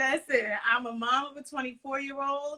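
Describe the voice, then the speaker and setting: In a New York accent, a woman talks with a bright, sharp tone. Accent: Bronx, New York. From New York City, the Bronx. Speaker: podcaster on mental health. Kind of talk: casual interview chat.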